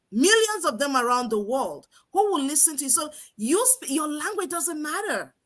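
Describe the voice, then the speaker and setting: In an African accent, a woman talks with an animated tone, a high pitch, and very wide pitch swings. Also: moderate pace. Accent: non-American African English. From Nigeria. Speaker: online business coach. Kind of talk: live stream talk.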